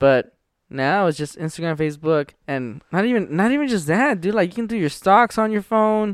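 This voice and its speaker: The speech moves at a moderate pace with very wide pitch swings, on a very clean recording with a silent background. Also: man, high pitch for a man. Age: 20s. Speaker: stand-up comedian. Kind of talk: casual chat.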